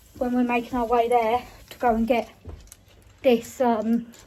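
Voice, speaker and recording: A woman with a British accent talks at a high pitch and moderate pace over noticeable background noise. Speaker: car vlogger. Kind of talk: casual vlog.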